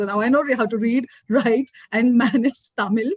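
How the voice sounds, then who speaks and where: A woman with a South Indian accent talks at a high pitch, her pitch varying in an ordinary way. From South India, Bangalore. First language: Kannada. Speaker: corporate executive, panelist. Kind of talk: panel discussion.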